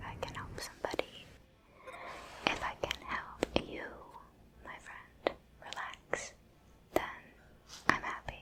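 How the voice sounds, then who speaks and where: Whispering in a calm tone at a fairly slow pace, with long, frequent pauses and noticeable background noise. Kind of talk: ASMR gameplay ramble. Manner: whispered; soft-spoken, calm.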